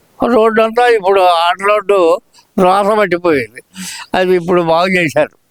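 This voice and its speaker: Recorded dry and close with no echo, a man speaks at a high pitch with ordinary pitch variation and very even loudness. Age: 80s+. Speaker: pensioner interviewed on the street. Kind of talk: street interview. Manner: halting.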